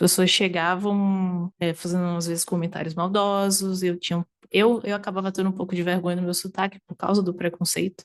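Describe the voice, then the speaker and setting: This woman talks fairly quickly with hardly any pauses, her pitch medium and her intonation flat and monotone. The sound is dry and close, with no echo. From Northeast Brazil, Aracaju, Sergipe. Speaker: variety game streamer. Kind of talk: interview conversation. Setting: at her home.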